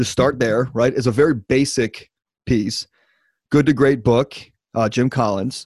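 On a very clean recording with a silent background, a man speaks at a medium pitch and moderate pace, dry and close with no echo, with very even loudness and long, frequent pauses. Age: 30s. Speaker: podcast host. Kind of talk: podcast interview. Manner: animated.

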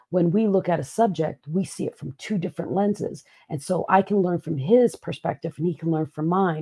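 With hardly any pauses, a woman talks at a fairly quick pace in a fairly low pitch with ordinary pitch variation, her tone dark, mellow and somewhat breathy, the sound dry and close with no echo. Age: 50s. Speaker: keynote speaker and podcast co-host. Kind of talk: casual chat. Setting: live stream. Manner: laughs often.

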